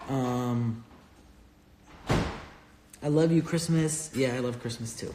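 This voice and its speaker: There is audible room echo and noticeable background noise as the speaker moves at a very slow pace. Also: man. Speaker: real estate investor and finance educator. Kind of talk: live stream Q&A. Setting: Instagram live stream. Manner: casual, filler-heavy.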